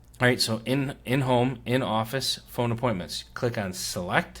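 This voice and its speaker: A man with an ordinary speaking voice talks at medium pitch and a moderate pace, with fairly even intonation. The recording is very clean, with a silent background. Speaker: Medicare insurance agent. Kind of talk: tutorial.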